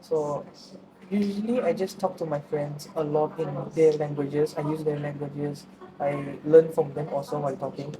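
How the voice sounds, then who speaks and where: Through noticeable background noise, a woman with a very deep, low pitch talks at a moderate pace with ordinary pitch variation. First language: Tamil. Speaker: university student. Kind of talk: interview. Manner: halting.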